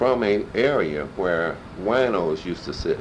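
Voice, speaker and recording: A man speaks with lively intonation. Noticeable background noise runs beneath him. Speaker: community activist, oral history interviewee. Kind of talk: oral history interview.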